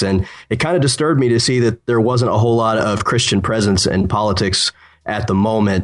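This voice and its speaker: A man with an American accent talks at a fairly quick pace in a normal speaking voice. His pitch sits fairly low, and his intonation stays fairly even. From Ohio. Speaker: political writer. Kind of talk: casual chat.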